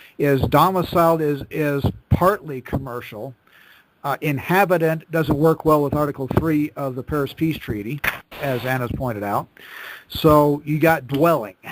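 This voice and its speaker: A man speaks at a moderate pace and a fairly high pitch, with ordinary pitch variation. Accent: American. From Nebraska. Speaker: discussion group host. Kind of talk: group call discussion. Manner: halting.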